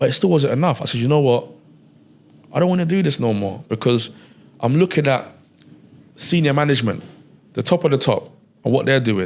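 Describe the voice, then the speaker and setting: A man with a London accent talks at a fairly quick pace, lively in intonation, with long, frequent pauses. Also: fairly high pitch for a man. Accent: London English (multicultural London). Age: 30s. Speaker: entrepreneur, media company founder. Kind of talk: casual interview conversation.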